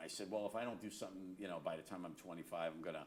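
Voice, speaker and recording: A man talks with a very deep, low pitch. His intonation is fairly even. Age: 60s. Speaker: guitarist. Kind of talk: interview. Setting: studio. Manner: halting.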